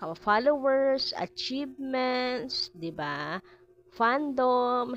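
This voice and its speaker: A woman speaks very slowly at a high pitch, her voice swinging very widely in pitch. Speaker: showbiz gossip vlogger. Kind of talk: casual chat. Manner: animated.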